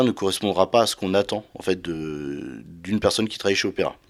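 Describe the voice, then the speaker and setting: Recorded very cleanly over a silent background, the speech moves at a fairly quick pace with ordinary pitch variation. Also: man. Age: 30s. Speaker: wealth management advisor. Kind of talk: interview. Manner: hesitant.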